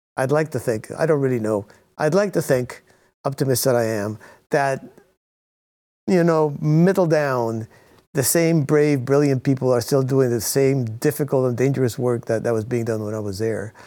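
A man with an American accent and an unremarkable speaking voice talks at a moderate pace and medium pitch with ordinary pitch variation, on a very clean recording with a silent background. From Cuba, raised in the US from childhood. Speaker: author and former intelligence analyst. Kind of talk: interview.

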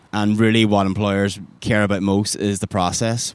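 Here a man speaks in an Irish accent at a moderate pace. His pitch is fairly low and his intonation monotone and flat. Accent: Irish accent, noticeable. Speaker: design recruiter. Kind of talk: podcast interview. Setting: outdoors by a river.

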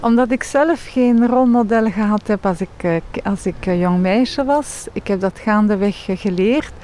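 A woman with a French accent speaks fairly slowly with hardly any pauses, her fairly high voice dark and mellow in tone with ordinary pitch variation. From Belgium, Leuven. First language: French (speaking Dutch). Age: 50s. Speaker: banking executive. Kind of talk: interview.

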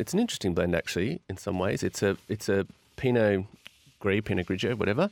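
Speaking very fast with lively intonation, a man comes through in a dry, close sound with no echo on a very clean recording with a silent background. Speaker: wine seller. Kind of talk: casual chat. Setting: studio.

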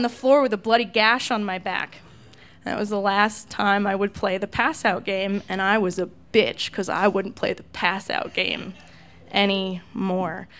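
An unremarkable speaking voice proceeds at a fairly slow pace in a very clean recording with a silent background. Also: woman. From California. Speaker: radio DJ. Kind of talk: live storytelling. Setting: stage with audience.

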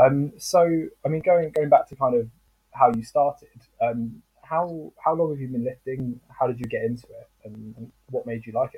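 This is an unremarkable speaking voice at a moderate pace with ordinary pitch variation. Its loudness swings widely. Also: man, medium pitch for a man. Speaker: podcast interviewer. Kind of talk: casual interview. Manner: filler-heavy.

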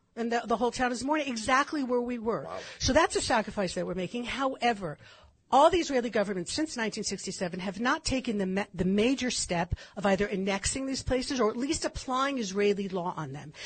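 With an American accent and an ordinary speaking voice, a woman talks at a fairly quick pace in a fairly high pitch, her intonation lively. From California. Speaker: commentator on Israeli history. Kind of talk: radio interview.

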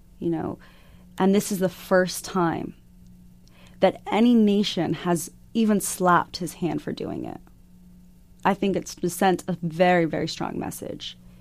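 A woman with a fairly low pitch, fairly slow and fairly even in intonation, on a very clean recording with a silent background. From US Southwest, Arizona. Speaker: activist. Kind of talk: interview. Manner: halting, many fillers.

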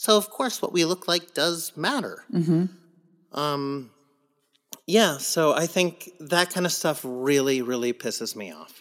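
A high-pitched man's voice with an American accent and lively intonation. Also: big swings in loudness. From US West Coast (San Diego). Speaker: Broadway actor. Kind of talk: casual chat.

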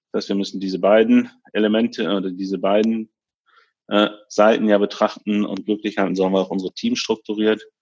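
A man with an ordinary speaking voice talks at a fairly quick pace, his fairly low pitch held to fairly even intonation. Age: 30s. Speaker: tech company executive. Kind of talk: interview.

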